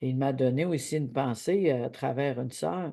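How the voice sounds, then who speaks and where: Against a quiet background, a woman with a Quebec accent speaks at a very deep, low pitch in a dark, mellow tone with ordinary pitch variation. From Quebec, Abitibi. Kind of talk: devotional teaching. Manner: halting.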